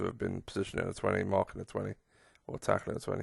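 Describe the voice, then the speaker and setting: A man with an English accent talks at a very fast pace with vocal fry. The sound is dry and close, with no echo. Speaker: gaming streamer. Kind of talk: gameplay commentary. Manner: drowsy; animated.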